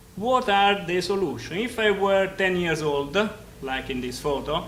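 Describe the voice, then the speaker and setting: With music in the background and audible room echo, the speaker talks at a fairly slow pace in an Italian accent, using lively intonation. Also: man. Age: 50s. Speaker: engineering professor. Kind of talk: lecture. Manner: loud; halting.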